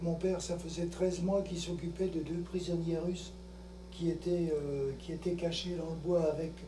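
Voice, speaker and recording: Heard with light background noise and audible room echo, a man speaks at a high pitch. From France. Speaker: son of a wartime helper. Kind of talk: interview testimony. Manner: halting. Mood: calm reminiscing. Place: home room. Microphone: camera far.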